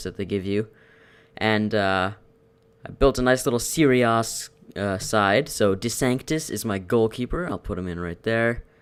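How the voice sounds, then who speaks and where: Male speech at a moderate speed and with ordinary pitch variation. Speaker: gaming commentator. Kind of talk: video game commentary. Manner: casual.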